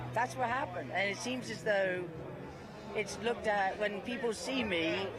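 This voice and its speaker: Lively in intonation, a woman speaks at a medium pitch, with noticeable background noise and audible room echo. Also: moderate pace. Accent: English. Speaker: political activist. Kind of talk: interview.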